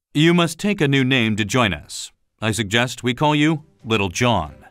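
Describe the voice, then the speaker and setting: In a put-on character voice, a man at medium pitch swings his pitch very widely, on a very clean recording with a silent background. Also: moderate pace. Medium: read story.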